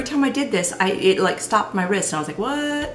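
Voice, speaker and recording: Amid noticeable background noise and audible room echo, a woman talks at a very fast pace with very wide pitch swings. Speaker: product reviewer. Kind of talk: product review. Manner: casual, hesitant with fillers; slurs words.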